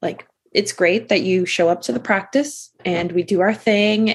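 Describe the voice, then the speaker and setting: At a fairly slow pace, a woman with an American accent speaks at a medium pitch with ordinary pitch variation. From Massachusetts. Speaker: nurse coach. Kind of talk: casual interview. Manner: calm.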